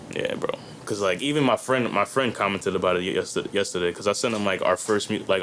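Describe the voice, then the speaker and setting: Very fast in pace, a man with a fairly low pitch and ordinary pitch variation speaks over noticeable background noise. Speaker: rapper. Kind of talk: casual chat. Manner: animated.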